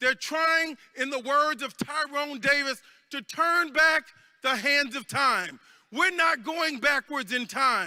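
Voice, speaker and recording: In a very clean recording with a silent background, a man uses a raised, projected voice with an extremely high pitch, a bright, sharp tone, ordinary pitch variation and a very slow pace. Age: 60s. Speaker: congressman. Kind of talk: convention speech. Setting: stage with audience. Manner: rousing.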